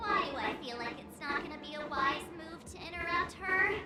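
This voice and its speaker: Someone uses a put-on character voice, high in pitch, at a moderate pace. Loud background noise and a slight echo surround it. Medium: video game. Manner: expressive, jumpy.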